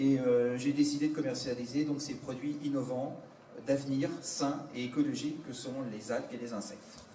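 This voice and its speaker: With noticeable background noise and audible room echo around him, a man's voice rises to a fairly high pitch. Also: fairly even intonation, moderate pace. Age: 60s. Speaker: entrepreneur selling insect and algae foods. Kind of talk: product presentation to an audience. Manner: hesitant, many fillers.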